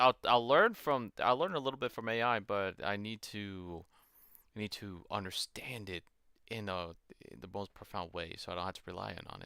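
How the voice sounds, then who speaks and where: A man speaks at a moderate pace with a fairly low pitch, a bright, sharp tone, and ordinary pitch variation. The sound is dry and close with no echo, on a very clean recording with a silent background. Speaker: streamer. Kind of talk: live stream, reading docs aloud while learning. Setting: live stream with facecam. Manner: halting, self-interrupting.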